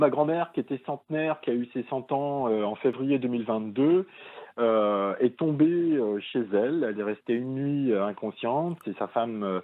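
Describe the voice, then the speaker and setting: Speaking at a medium pitch, a man keeps a moderate pace. His pitch shows ordinary variation. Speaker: caller. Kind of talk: testimony. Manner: halting.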